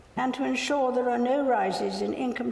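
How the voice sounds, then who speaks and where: A woman's voice over noticeable background noise. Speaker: monarch delivering a formal speech. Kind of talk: formal ceremonial speech.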